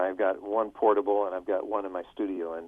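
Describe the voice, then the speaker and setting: A man with a plain, everyday voice speaks at a moderate pace and a fairly low pitch. His intonation stays fairly even. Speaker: radio personality and voiceover talent. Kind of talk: casual interview answer about audio gear.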